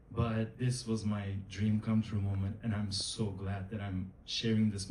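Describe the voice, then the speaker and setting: In a Turkish accent, a man talks at a fairly slow pace with a fairly low pitch and a monotone, flat intonation, with audible room echo. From Turkey. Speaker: actor. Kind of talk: panel interview. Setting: stage with audience.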